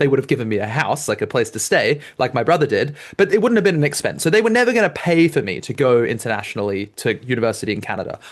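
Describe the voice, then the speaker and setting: With an Australian accent, a man speaks very fast at a fairly high pitch. His tone is animated, and his pitch swings very widely. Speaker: debate coach. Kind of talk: lecture.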